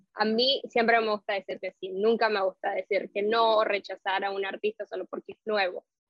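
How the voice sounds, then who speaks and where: A woman with a fairly high pitch and a normal speaking voice talks at a moderate pace with fairly even intonation and hardly any pauses. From Nicaragua. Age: 20s. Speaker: entertainment journalist. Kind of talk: interview.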